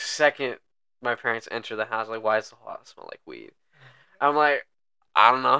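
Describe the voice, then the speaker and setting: A man talks at a moderate pace, his loudness swinging widely. Long pauses come often, and the sound is dry and close with no echo. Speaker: podcast host. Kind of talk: casual chat.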